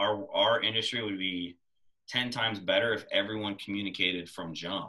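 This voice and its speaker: At a fairly quick pace, a man with a normal speaking voice talks at a fairly low pitch with ordinary pitch variation. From small-town Ohio near Youngstown. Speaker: podcast host and real estate agent. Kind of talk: interview.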